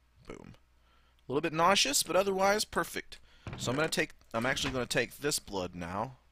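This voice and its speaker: Speaking fairly quickly with an American accent, a man with a fairly high voice, a bright, sharp tone and vocal fry sounds animated, swinging very widely in pitch and leaving long, frequent pauses. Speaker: gaming YouTuber. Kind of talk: let's play commentary. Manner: casual, animated.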